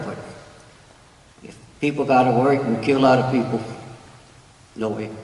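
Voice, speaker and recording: The voice is monotone, with flat intonation. Noticeable background noise and audible room echo fill the recording. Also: man. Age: 70s. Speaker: retired community resident. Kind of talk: public comment.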